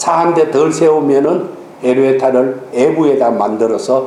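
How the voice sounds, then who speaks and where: This man's voice sits at a fairly high pitch, with noticeable background noise and audible room echo. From Gyeongsang region, South Korea. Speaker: pastor. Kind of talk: sermon.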